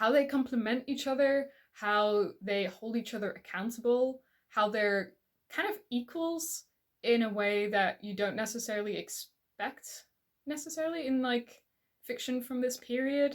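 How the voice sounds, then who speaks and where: With a non-native accent, a woman speaks at a moderate pace in a high voice with ordinary pitch variation. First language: not English. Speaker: book reviewer. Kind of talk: casual vlog talk. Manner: hesitant, with repetitions.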